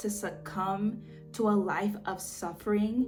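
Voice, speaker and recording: A woman's medium-pitched voice with music in the background. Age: 20s. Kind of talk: casual talk to camera. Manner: warm, conversational.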